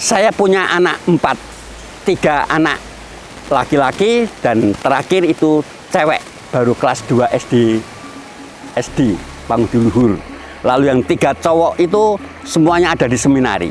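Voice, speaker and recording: Music plays behind a man who speaks at a moderate pace and a fairly high pitch, with very wide pitch swings, very even loudness, and long, frequent pauses. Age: 60s. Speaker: farmer. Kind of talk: interview testimony.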